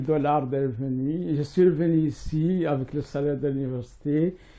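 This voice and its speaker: With a Mauritanian accent, a man speaks very slowly in a fairly high voice with a dark, mellow tone and ordinary pitch variation. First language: Hassaniya Arabic (speaking French). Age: 60s. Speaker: writer and professor. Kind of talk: interview. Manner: hesitant, many fillers.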